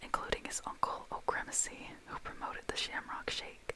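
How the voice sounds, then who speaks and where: A woman's whisper moves rather briskly, with background noise clearly present. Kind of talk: ASMR close-whisper talk to camera. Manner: whispered, soft-spoken.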